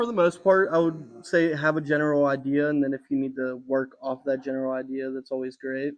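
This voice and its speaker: A man with a normal speaking voice, pitched fairly high, talks at a fairly quick pace. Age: 20s. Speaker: tattoo artist. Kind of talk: interview. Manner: casual.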